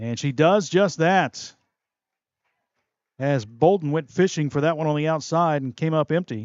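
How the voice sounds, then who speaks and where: Speaking at a moderate pace, a man with a fairly high voice uses ordinary pitch variation and leaves long, frequent pauses. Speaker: play-by-play sports broadcaster. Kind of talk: live commentary.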